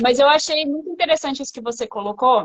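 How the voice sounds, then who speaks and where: A woman speaks with lively intonation. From São Paulo city, Brazil. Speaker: business English school founder. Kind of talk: casual chat. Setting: Instagram live video.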